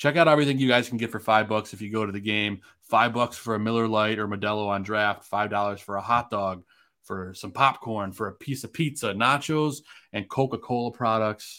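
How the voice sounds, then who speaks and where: Delivered in an ordinary speaking voice, the speech runs at a fairly quick pace with ordinary pitch variation. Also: man, fairly low pitch for a man. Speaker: podcast host. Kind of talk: casual sports talk show. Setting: video call.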